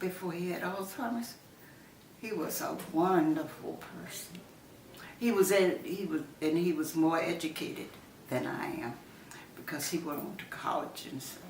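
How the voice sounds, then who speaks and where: Over noticeable background noise, a woman with an American accent speaks at a moderate pace and fairly low pitch, with ordinary pitch variation, big swings in loudness and long, frequent pauses. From Southern United States. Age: 80s+. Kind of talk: interview answer.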